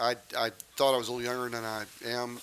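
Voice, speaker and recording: A man's medium-pitched voice moves along fairly fast. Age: 60s. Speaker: equine veterinarian and supplement maker. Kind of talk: promotional interview.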